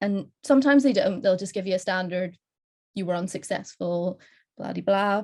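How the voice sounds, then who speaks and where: Here a woman speaks at a moderate pace and a medium pitch. Her pitch variation is ordinary. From Northern Ireland. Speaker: postdoctoral researcher. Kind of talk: conference panel talk.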